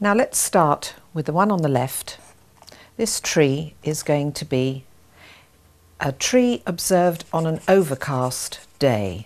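A woman speaks very slowly in a very deep, low voice. Her pitch swings very widely. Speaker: art instructor. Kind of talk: tutorial. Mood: warm, encouraging. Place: studio.

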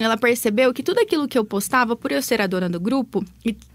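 Her high-pitched voice runs at a fairly quick pace, and this woman's intonation stays lively throughout. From Brazil, Cambé (Paraná); Paraná, Brazil. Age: 20s. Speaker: digital business mentor and entrepreneur. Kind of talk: radio interview. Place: studio.

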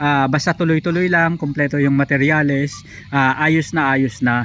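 On a very clean recording with a silent background, a man speaks at a moderate pace with fairly even intonation and a bright, sharp tone. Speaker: vlogger. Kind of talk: tutorial. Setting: outdoors at a piggery. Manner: explanatory, filler-heavy.

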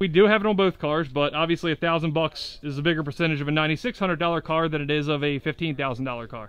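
A man talks at a very fast pace, recorded dry with no echo. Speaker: shop owner vlogger. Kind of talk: casual vlog chat. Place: street. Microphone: phone near.

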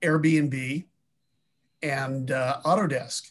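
A somewhat breathy man with fairly even intonation. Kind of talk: group discussion remarks. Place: home room. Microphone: video call.

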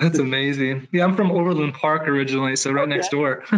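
This man has an American accent and a fairly high pitch. He talks at a fairly quick pace with fairly even intonation. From Kansas City area, US Midwest. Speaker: research scientist. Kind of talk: panel discussion. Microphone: video call.

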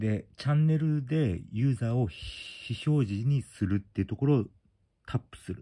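At a moderate pace, a man talks in a dark, mellow, somewhat breathy tone with ordinary pitch variation against a quiet background. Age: 40s. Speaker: YouTuber. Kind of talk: tutorial. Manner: casual, halting. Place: home room. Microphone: phone near.

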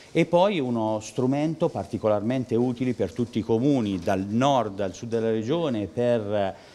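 Hardly pausing, a man speaks at a moderate pace in a medium pitch with a dark, mellow tone and ordinary pitch variation. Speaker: regional politician. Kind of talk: interview. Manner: hesitant fillers.

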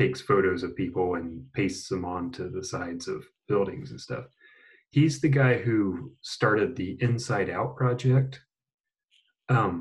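Somewhat breathy, a man talks with lively intonation and big swings in loudness. The background is quiet. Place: home room.

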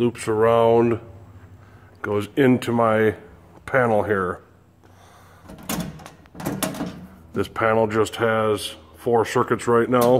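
At a very slow pace, a man speaks with long, frequent pauses over light background noise. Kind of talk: casual tour narration. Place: garage. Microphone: phone near.

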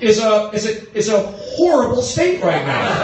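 Audible room echo and noticeable background noise surround a man speaking at a fairly slow pace. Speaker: stand-up comedian. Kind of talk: stand-up crowd work. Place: stage.

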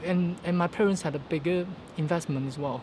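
A man speaks with a Hong Kong accent against noticeable background noise. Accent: Hong Kong Cantonese-accented English. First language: Cantonese. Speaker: vlogger. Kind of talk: casual vlog monologue. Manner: halting, with fillers and repetitions. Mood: upbeat, optimistic. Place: street. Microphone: phone near.

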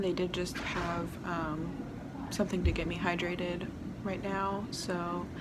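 A woman talks over loud background noise. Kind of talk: casual vlog chat. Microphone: phone near.

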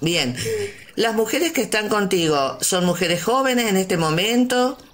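A woman's voice with very wide pitch swings against noticeable background noise. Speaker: community radio host. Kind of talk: interview.

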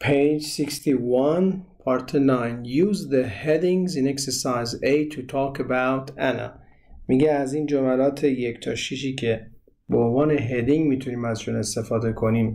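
A man's medium-pitched voice with a dark, mellow tone, a moderate pace and ordinary pitch variation. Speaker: English teacher. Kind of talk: tutorial.

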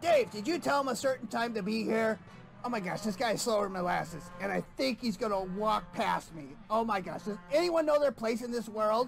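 Putting on a whiny character voice, a man speaks at a moderate pace with very wide pitch swings over clear background noise. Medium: puppet show. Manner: exasperated, whiny, fretful.

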